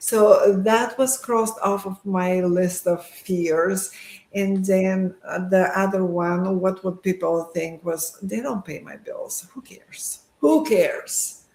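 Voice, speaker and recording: At a very slow pace, a woman talks at medium pitch. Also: ordinary pitch variation. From Bulgaria. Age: 50s. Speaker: medical professional. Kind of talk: interview answer.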